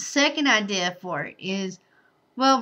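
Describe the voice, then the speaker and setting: Against a quiet background, a woman with an American accent talks in a bright, sharp tone at a fairly high pitch. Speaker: vlogger, bride-to-be. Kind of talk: casual vlog monologue.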